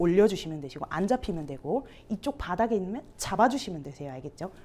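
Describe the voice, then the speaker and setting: With a slight Gyeongsang accent, a woman speaks in an animated tone with very wide pitch swings. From Gyeongsang region, Ulsan. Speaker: musical theatre instructor. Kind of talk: teacher training workshop.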